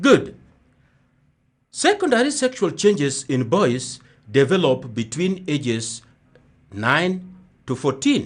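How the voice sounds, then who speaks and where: Somewhat breathy, a man speaks at a very slow pace with lively intonation. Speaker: primary school teacher. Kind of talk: radio lesson for children. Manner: repetitive, slow teaching pace.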